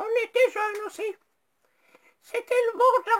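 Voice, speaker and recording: A squeaky, put-on character voice is used throughout. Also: woman. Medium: comedy sketch. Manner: plaintive, complaining.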